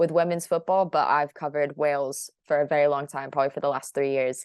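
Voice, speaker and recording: A woman's very deep, low voice with fairly even intonation and an American accent. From United States. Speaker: football journalist. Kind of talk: interview.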